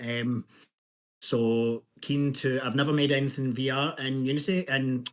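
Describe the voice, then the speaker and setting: A man speaks at medium pitch in a Scottish accent. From Scotland. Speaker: indie game developer. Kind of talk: self-introduction in workshop. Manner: hesitant, many fillers.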